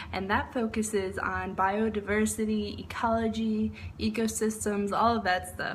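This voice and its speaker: A woman speaks with an American accent at a moderate pace. Audible room echo surrounds her voice. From Texas (Dallas), early childhood near Chicago. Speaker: university student. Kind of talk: class speech of self-introduction. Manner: casual, with fillers.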